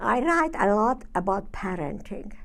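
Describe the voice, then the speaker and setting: With a Hungarian accent, this voice swings very widely in pitch, has vocal fry, moves at a fairly slow pace, and carries audible room echo. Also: woman. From northern Hungary. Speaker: Holocaust survivor and psychiatrist speaker. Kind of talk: survivor testimony talk with Q&A. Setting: university lecture room with audience.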